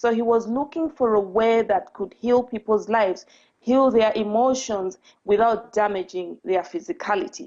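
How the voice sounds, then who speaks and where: A woman speaks with a fairly high pitch and ordinary pitch variation. Her tone is dark and mellow, over a quiet background. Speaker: spiritual coach and speaker. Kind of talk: talk. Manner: deliberately slow.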